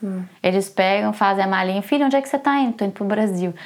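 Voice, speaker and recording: A woman speaks at a very fast pace. Her voice sits at medium pitch with ordinary variation. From Brazil, Belo Horizonte. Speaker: lawyer and graduate student, mother of twins. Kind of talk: interview.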